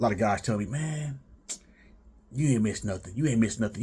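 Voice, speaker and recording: A man speaks very fast in a dark, mellow, somewhat breathy voice. His pitch is medium, with ordinary variation. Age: 30s. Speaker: vlogger. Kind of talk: casual storytelling monologue. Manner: halting, repeats words; laid back.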